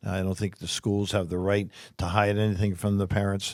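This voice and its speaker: At a moderate pace, the speaker talks in a New Jersey accent on a very clean recording with a silent background. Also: man. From US Northeast, New Jersey shore. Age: 60s. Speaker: political candidate. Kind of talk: interview. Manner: halting, with frequent repetitions.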